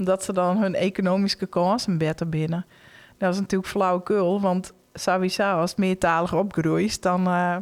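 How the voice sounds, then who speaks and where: In a Frisian accent, a woman at a medium pitch talks at a moderate pace with fairly even intonation on a very clean recording with a silent background. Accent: Frisian-accented Dutch. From Friesland, Netherlands. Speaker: Frisian language educator. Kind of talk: casual podcast interview. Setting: live event recording amid crowd.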